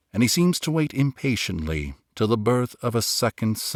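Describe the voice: Over a quiet background, a voice does plain reading aloud.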